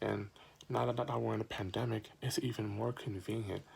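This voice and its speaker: A man talks at a moderate pace in a fairly low voice with vocal fry. His pitch varies in an ordinary way. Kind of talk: informative speech. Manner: stuttering.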